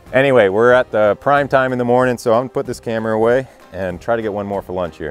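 Faint music sits in the background while a man speaks at a very fast pace with ordinary pitch variation, in a dry sound with no echo. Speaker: hunter vlogger. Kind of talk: casual vlog chat. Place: forest. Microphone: lapel.

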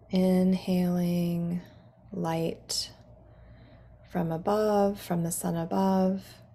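A woman talks at a very slow pace, with long, frequent pauses and monotone, flat intonation. Her fairly low voice is somewhat breathy, with a calm, soothing tone that is dark and mellow. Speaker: guided meditation guide. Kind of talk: guided meditation / guided imagery. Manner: calm, slow, soothing.

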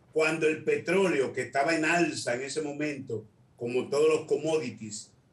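There is audible room echo as a man talks at a fairly slow pace with ordinary pitch variation. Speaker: political commentator, remote guest. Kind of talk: interview answer. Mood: critical, argumentative. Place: home room. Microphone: video call.

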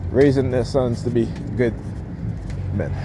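Against noticeable background noise, a man's voice comes through dry, with no echo. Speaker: vlogger. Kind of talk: angry rant. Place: street. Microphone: phone near.

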